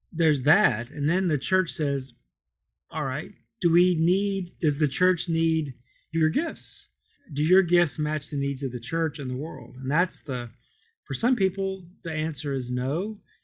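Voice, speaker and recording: A man with a fairly high voice uses a normal speaking voice, going at a fairly slow pace with ordinary pitch variation. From Kentucky, US. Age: 50s. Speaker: Episcopal priest. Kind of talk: interview. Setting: remote call.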